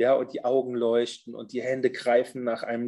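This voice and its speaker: Speaking at a medium pitch, this man has a dark, mellow tone. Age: 50s. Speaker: social worker with therapy dogs. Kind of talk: casual chat.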